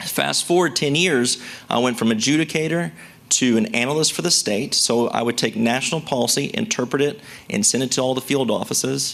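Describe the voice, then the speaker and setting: A man talks with very even loudness. There is noticeable background noise. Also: medium pitch for a man, lively intonation, fairly quick pace. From US South, rural West Tennessee. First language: a language other than English (immigrant household). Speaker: Social Security expert. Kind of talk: seminar presentation. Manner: casual, conversational.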